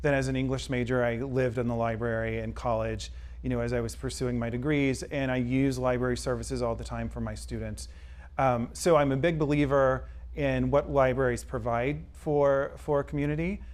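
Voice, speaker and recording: Audible room echo around a man's fairly quick pace. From Mississippi (near Hattiesburg, Columbia). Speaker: college English professor and library board chair. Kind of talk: interview. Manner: frequent hesitations (um).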